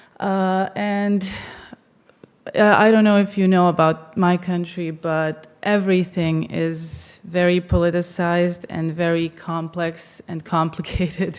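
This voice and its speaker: A woman's fairly low voice at a fairly slow pace, monotone and flat in intonation. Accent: Bosnian. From Bosnia and Herzegovina. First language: Bosnian. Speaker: political affairs professional. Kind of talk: conference presentation.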